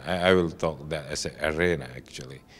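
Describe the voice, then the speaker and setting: A man's very deep, low voice with an Indonesian accent and ordinary pitch variation, on a very clean recording with a silent background. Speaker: telecom executive. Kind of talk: interview. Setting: industry conference. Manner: halting.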